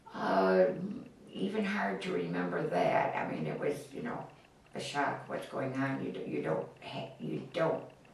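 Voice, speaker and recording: Over noticeable background noise, a woman with a very deep, low pitch speaks fairly slowly, her pitch swinging very widely. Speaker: grandmother. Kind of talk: interview answer.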